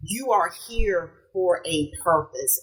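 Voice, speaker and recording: A woman speaks with an American accent at a medium pitch. Her pitch swings very widely. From US South. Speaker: podcast guest. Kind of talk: casual chat.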